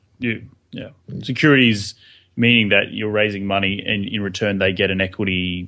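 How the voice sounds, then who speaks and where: Against a quiet background, a man speaks at a fairly quick pace. His very deep, low voice carries a bright, sharp tone. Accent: Australian. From Australia. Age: 20s. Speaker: real estate investor and podcaster. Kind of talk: casual interview.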